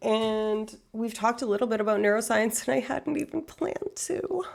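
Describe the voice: Doing a put-on character voice, a woman speaks at a moderate pace with a raspy, fairly high pitch and lively intonation.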